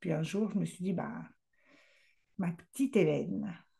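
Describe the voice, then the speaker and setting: With a dark, mellow tone, a woman speaks somewhat breathily at a fairly slow pace. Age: 60s. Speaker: love coach and speaker. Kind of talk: casual vlog monologue. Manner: hesitant, many fillers.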